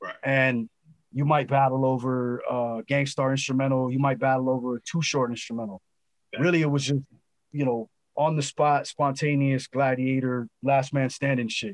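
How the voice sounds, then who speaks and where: A normal speaking voice from a man, medium pitch, fairly even intonation and a moderate pace, with a dry, close sound and no echo. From Los Angeles, California. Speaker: rapper. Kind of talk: casual interview. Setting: video call.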